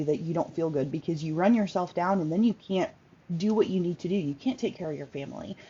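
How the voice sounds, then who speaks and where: This is a woman speaking. Her pitch is fairly low. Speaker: workshop host, self-care coach. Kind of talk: informal online workshop talk. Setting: Facebook live video. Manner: fast; halting, many fillers.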